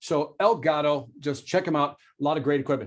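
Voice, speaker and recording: Fairly high-pitched, a man's voice moves along at a fairly quick clip. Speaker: sales trainer. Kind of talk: webinar talk. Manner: fast.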